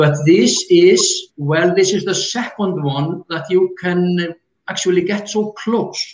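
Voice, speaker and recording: A man with an Icelandic accent speaks very slowly in a high voice, his intonation fairly even. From Iceland (north, lake area). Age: 60s. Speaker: retired geologist and tour guide. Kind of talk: interview explanation.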